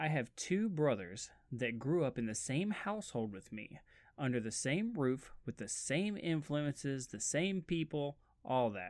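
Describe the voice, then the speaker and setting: In a very clean recording with a silent background, a man speaks at a fairly slow pace and fairly high pitch. His tone is animated, with very wide pitch swings. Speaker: podcast host. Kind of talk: casual monologue. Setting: home studio. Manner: animated, giggly.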